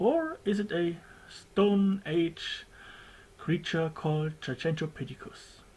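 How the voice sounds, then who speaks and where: The speaker, with a German accent, talks at a very slow pace. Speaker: documentary maker. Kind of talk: homemade documentary narration. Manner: halting, less fluent; casual.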